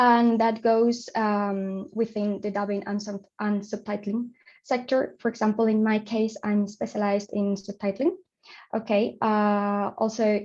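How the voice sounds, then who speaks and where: A woman speaks at a fairly high pitch in a Spanish accent. Her intonation is monotone and flat. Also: fairly slow pace, quiet background. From Spain. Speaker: audiovisual translator. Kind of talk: conference presentation. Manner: halting, many fillers.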